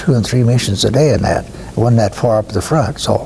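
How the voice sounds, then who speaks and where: Fairly quick speech from a man with an American accent over noticeable background noise. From Iowa, US Midwest. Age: 80s+. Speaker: war veteran. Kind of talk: interview testimony. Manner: halting, with many fillers.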